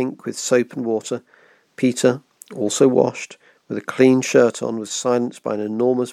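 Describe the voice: Plain reading aloud with fairly even intonation is heard against a quiet background.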